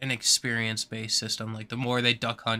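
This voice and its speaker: A man with a medium pitch and a bright, sharp tone speaks at a moderate pace in a monotone, flat way. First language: not English. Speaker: gaming streamer. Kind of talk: live stream commentary. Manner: halting, many fillers.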